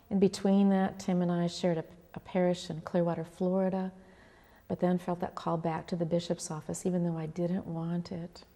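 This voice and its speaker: This woman's voice is fairly low and has a dark, mellow tone. She speaks at a fairly quick pace with flat, monotone intonation. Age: 60s. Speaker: pastor. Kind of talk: oral history interview.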